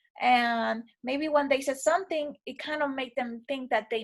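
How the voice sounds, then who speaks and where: A woman speaks at a high pitch with a non-native accent. The recording is very clean, with a silent background. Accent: non-native, sometimes mispronounces. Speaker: teacher. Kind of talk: reflective video feedback for a course. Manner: casual, with fillers.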